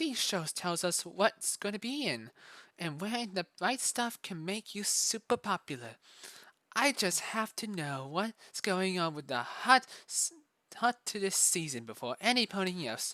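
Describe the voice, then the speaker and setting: In a put-on character voice, a female-sounding speaker talks at a moderate pace and medium pitch on a very clean recording with a silent background. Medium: read story. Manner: impatient, dismissive.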